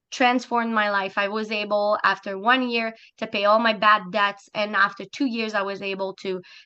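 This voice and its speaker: A woman's medium-pitched, monotone, flat delivery with a slight French Canadian accent. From Quebec, Montreal. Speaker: business opportunity presenter. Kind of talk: sales pitch.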